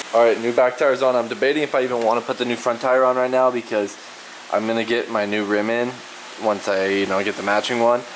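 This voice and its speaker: A man speaks very fast while light background noise sits behind him. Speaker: scooter enthusiast vlogger. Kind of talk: casual vlog chat. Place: garage. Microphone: phone near.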